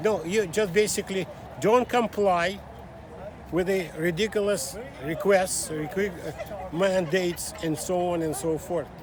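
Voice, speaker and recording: Speaking fairly slowly in a Russian accent, a man with a high-pitched voice uses ordinary pitch variation over noticeable background noise. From Russia (Soviet Union). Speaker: small business owner, immigrant. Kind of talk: street interview. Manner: halting.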